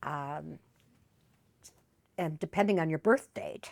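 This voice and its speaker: A woman speaks fairly slowly in a very deep, low voice with vocal fry. The recording is very clean, with a silent background and a dry, close sound with no echo. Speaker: grandmother. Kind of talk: interview answer.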